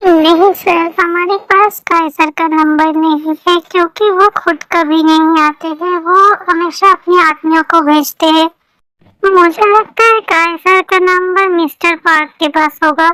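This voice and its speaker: A woman's put-on character voice, extremely high in pitch, fairly slow, very even in loudness, in a dry, close sound with no echo. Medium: fan dub. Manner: deferential.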